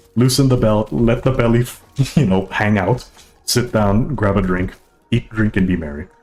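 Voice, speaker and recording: Music plays behind a man with a medium-pitched voice. His intonation is lively and his pace fairly quick. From Hawaii, Oahu. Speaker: gaming streamer. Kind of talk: casual live-stream chat. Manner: relaxed, blunt, crass.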